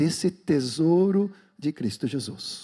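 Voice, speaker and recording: The voice has a dark, mellow tone and a Swedish accent. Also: man. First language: Swedish (speaking Portuguese). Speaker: pastor. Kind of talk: sermon; prayer.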